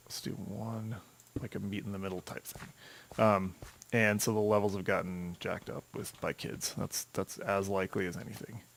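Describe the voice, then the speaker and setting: Soft-spoken and monotone, a man with a fairly low pitch talks at a moderate pace with flat intonation. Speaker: gaming video creator. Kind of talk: gameplay commentary. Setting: home desk recording. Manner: halting.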